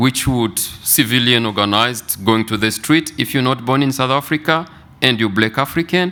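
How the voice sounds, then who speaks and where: A man with a French accent speaks at medium pitch in a bright, sharp tone, his intonation lively. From Congo (DRC). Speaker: mental health researcher. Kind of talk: conference presentation.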